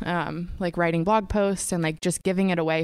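In a very clean recording with a silent background, a woman with a plain, everyday voice speaks at a moderate pace in a fairly low pitch with ordinary pitch variation. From US Pacific Northwest. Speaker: startup co-founder, graphic designer. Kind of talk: casual interview chat. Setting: studio.

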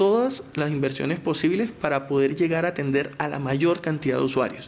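Here a man speaks with a Barranquilla accent at a fairly high pitch, showing vocal fry. His pace is moderate and his pitch variation ordinary. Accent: Barranquilla Caribbean Colombian. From Colombian Caribbean coast, Barranquilla. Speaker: telecom company spokesperson. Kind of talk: technical interview explanation.

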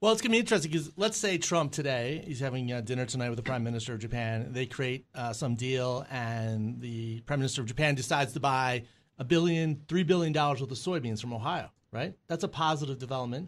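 A man talks at a very fast pace and a medium pitch with hardly any pauses. The background is quiet. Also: ordinary pitch variation. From US Midwest. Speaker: business strategy consultant. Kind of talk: radio panel discussion. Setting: studio.

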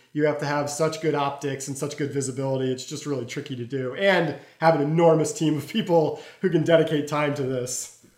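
The intonation here is fairly even. It comes from a plain, everyday voice. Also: man, fairly high pitch for a man. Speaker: security company interviewee. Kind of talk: interview.

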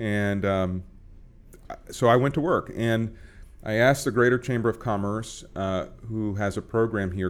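At a moderate pace, a man speaks with fairly even intonation and a fairly low pitch. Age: 30s. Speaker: county commissioner. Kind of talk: interview. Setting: studio.

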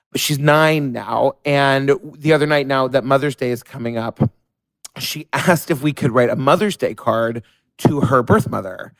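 In an American accent, a man with an ordinary speaking voice talks at a moderate pace, with a fairly high pitch and ordinary pitch variation. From New York. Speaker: listener, adoptive parent. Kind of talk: recorded voice memo question.

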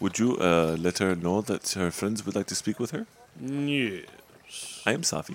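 This man's voice sits fairly low in pitch, and his intonation is lively. He has a plain, everyday voice. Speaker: podcast co-host and player. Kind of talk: tabletop role-playing game session.

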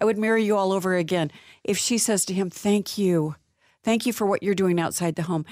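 A woman at medium pitch and a fairly quick pace, in a very clean recording with a silent background. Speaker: marriage coach and author. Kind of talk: radio interview. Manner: animated.

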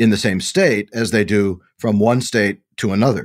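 On a very clean recording with a silent background, a man speaks in an unremarkable speaking voice at a moderate pace, with ordinary pitch variation. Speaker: bioethicist and historian co-host. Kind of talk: podcast discussion and narration.

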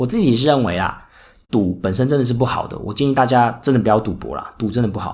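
A very fast-talking man, medium in pitch, with ordinary pitch movement. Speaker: podcast host and casino worker. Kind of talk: solo podcast monologue. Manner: many filler words.

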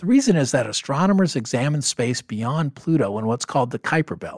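An ordinary speaking voice from a man at a fairly high pitch, with lively intonation and a fairly quick pace, dry, close sound with no echo, very clean recording and silent background. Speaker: podcast host on personal finance. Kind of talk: podcast interview.

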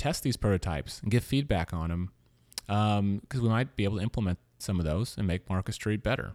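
A man with an American accent talks at a fairly quick pace in an unremarkable speaking voice, fairly low in pitch with ordinary pitch variation. The recording is very clean with a silent background and a dry, close sound with no echo. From US South, Louisiana. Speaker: podcast host. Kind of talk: interview; scripted narration.

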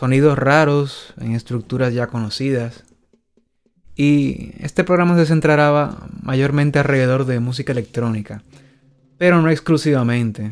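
With music in the background, a man speaks fairly slowly in a Dominican accent, his pitch varying in an ordinary way. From Dominican Republic. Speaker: DJ and radio host. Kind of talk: casual chat; scripted narration.

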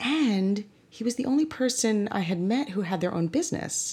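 A woman talks at a moderate speed, her pitch swinging very widely, on a very clean recording with a silent background. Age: 50s. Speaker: brand strategist. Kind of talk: casual interview storytelling.

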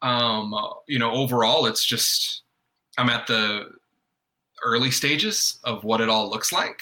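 Fairly even intonation from a man with an American accent, at a fairly slow pace. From US South, North Carolina. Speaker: guest, father and artist. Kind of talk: casual chat.

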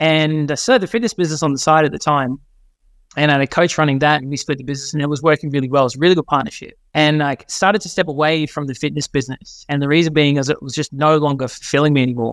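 A very fast pace in an Australian accent, with fairly even intonation and a dry, close sound with no echo. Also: man, fairly high pitch for a man. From Australia, New South Wales. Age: 30s. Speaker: marketing consultant. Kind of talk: podcast interview.

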